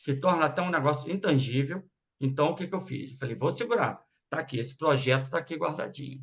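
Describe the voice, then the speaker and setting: At a fairly quick pace, a man's somewhat breathy voice shows ordinary pitch variation. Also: fairly high pitch for a man. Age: 60s. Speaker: radiology business owner, speaker to students. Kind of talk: informal talk to students.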